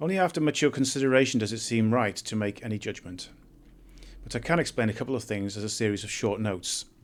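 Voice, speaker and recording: At a very fast pace, a man with a British accent talks at a medium pitch with ordinary pitch variation. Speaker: essayist reading his own writing. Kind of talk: political monologue and reading aloud of own essay. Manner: hesitant, with fillers.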